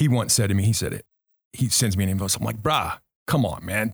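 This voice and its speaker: A man's fairly quick, somewhat breathy, fairly low-pitched voice with an American accent. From Southern California (Orange County, Anaheim). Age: 50s. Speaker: business consultant and military veteran. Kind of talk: casual interview conversation.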